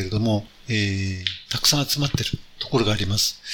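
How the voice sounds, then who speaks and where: A man talks at a medium pitch with ordinary pitch variation over noticeable background noise. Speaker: radio host. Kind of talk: casual chat. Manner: halting.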